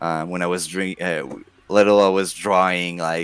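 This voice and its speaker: In a strong French Canadian accent, a man speaks at a moderate pace with a very deep, low pitch and flat, monotone intonation. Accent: thick French Canadian. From Quebec. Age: 40s. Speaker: video game collector, content creator. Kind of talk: casual podcast interview. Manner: halting, repeats words.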